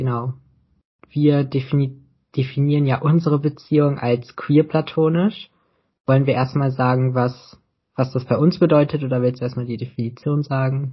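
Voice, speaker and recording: In a somewhat breathy voice, a male speaker keeps his intonation fairly even. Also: medium pitch for a man, moderate pace. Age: 20s. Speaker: podcast co-host. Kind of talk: casual chat.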